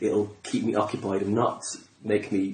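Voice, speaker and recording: Noticeable noise runs in the background while someone talks fairly slowly. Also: man. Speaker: comedian. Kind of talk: casual conversation.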